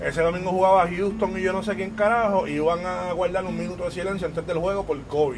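Talking very fast in a high voice with a Puerto Rican accent, a man is heard with audible room echo and noticeable background noise. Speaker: podcast host. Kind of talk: casual chat.

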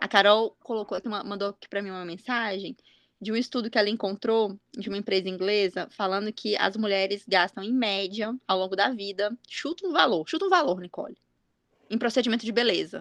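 A woman with an unremarkable speaking voice, fairly quick and with ordinary pitch variation, in a dry, close sound with no echo. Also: medium pitch for a woman. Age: 30s. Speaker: podcast host, mother. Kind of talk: casual chat.

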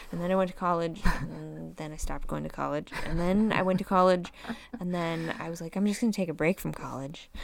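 This woman has an unremarkable speaking voice with a fairly low pitch. She talks at a fairly quick pace with fairly even intonation. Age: 30s. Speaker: podcast co-host. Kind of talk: casual chat.

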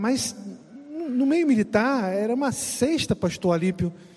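A man's lively intonation stands out amid noticeable background noise. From Brazil. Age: 50s. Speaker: pastor. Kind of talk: casual chat.

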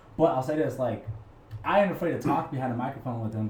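A man's voice with audible room echo. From New Mexico, Albuquerque. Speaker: radio co-host and stand-up comedian. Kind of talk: casual chat. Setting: art gallery.

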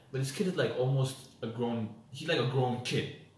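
This is a man with an American accent at a medium pitch. Noticeable background noise can be heard. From US, DC area (DMV), Ethiopian family. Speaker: podcast co-host. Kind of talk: casual chat.

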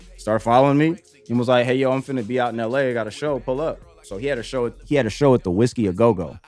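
Over background music, a man talks at a very fast pace with ordinary pitch variation. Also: medium pitch for a man. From Southern California, Palmdale and Bakersfield. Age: 20s. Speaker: director and photographer. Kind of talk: casual chat.

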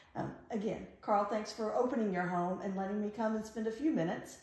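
Against noticeable background noise, a woman speaks in a fairly high pitch. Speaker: podcast host. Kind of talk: casual interview chat.

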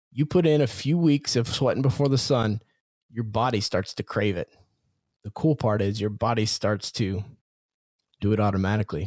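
A man talks at a moderate pace in an energetic, animated tone, with medium pitch, ordinary pitch variation and long, frequent pauses. The recording is very clean with a silent background and a dry, close sound with no echo. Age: 40s. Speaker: confidence coach and podcast host. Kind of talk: motivational solo podcast monologue.

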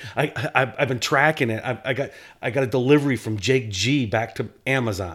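This man has a normal speaking voice and an American accent, at a medium pitch with ordinary pitch variation. He talks at a fairly quick pace on a very clean recording with a silent background. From upstate New York. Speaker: podcast co-host. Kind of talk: casual chat.

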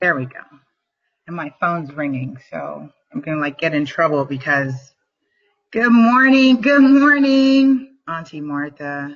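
A woman with a fairly low pitch talks at a fairly slow pace with long, frequent pauses, sounding somewhat breathy, with very wide pitch swings and big swings in loudness. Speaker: motivational livestream host. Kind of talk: motivational talk. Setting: livestream video. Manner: animated.

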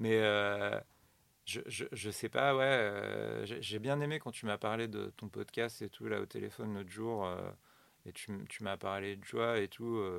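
In a very clean recording with total silence behind him, a man talks very slowly. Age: 40s. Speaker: comedian. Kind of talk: casual chat. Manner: halting.

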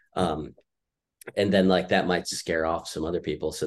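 With vocal fry and fairly even intonation, a man speaks over a quiet background. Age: 30s. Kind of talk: casual chat. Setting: video call.

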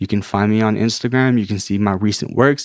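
Recorded very clean against a silent background, a man with a plain, everyday voice speaks at a fairly low pitch with fairly even intonation, the sound dry and close with no echo. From Canada. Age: 20s. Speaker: artist and entrepreneur. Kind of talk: casual chat. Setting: studio.

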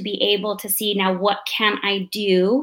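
Speaking at a fairly slow pace, a woman with an American accent has a medium pitch and a bright, sharp tone. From Arizona, Mesa. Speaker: real estate investor and speaker. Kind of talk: interview.

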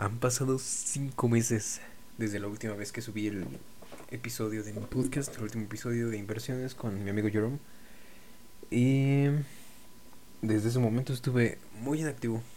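Against noticeable background noise and audible room echo, a man speaks at a moderate pace and medium pitch with fairly even intonation and long, frequent pauses. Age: 20s. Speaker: podcaster. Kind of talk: solo monologue. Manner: halting.

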